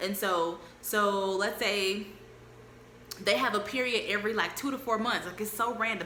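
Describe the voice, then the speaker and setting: Audible room echo colors this recording. A woman talks over noticeable background noise. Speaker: travel vlogger. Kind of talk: casual chat. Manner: fast.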